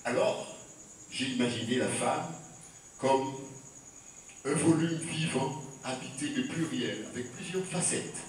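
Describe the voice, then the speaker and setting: Speaking very slowly with long, frequent pauses, a man uses a fairly high pitch with ordinary pitch variation over noticeable background noise. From Martinique. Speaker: poet and storyteller. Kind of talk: talk to audience. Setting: live audience.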